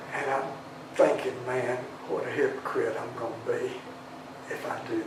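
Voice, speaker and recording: A man with a Southern US accent talks at a moderate pace. Noticeable background noise and audible room echo surround his voice. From Tennessee, schooled in Alabama. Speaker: singer-songwriter. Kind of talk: interview. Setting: studio. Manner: halting, repeats words.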